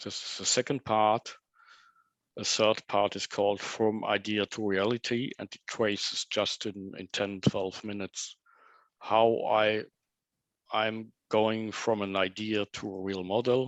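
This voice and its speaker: Delivery is fairly slow, with monotone, flat intonation. The sound is dry and close with no echo, over a quiet background. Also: man, fairly low pitch for a man, big swings in loudness. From Germany. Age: 60s. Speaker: model railroader, presenter. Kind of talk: presentation. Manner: halting.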